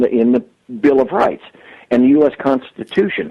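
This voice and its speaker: His is an unremarkable speaking voice, pitched in the middle range for a man. The intonation bounces in a lively way. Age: 60s. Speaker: police sergeant. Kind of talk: call-in commentary. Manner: formal.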